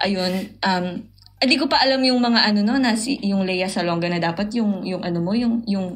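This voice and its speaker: Ordinary pitch variation marks a woman's voice, heard with noticeable background noise and audible room echo. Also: medium pitch for a woman, moderate pace. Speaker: poet and podcast guest. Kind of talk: casual chat.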